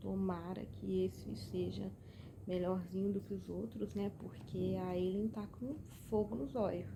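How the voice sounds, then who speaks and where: At a fairly slow pace, a soft-spoken woman talks. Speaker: book vlogger. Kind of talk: casual reading vlog. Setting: at home late at night. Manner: soft-spoken, speaking quietly.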